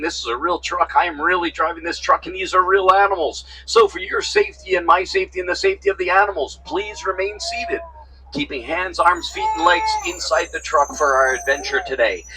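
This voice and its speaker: A man speaks fairly quickly while noticeable background noise is present. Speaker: safari tour guide. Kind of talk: guided tour commentary. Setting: outdoors on open safari truck. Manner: animated; whispering.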